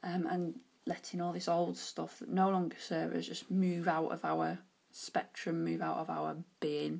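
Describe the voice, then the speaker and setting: A woman with a British accent at a moderate pace. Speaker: oracle card reader. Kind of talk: tarot-style card reading monologue. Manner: casual, hesitant with fillers.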